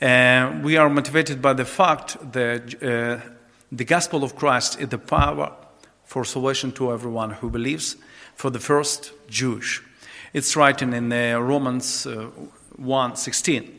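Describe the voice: With a bright, sharp tone and vocal fry, the voice moves at a fairly slow pace with fairly even intonation. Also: man, medium pitch for a man.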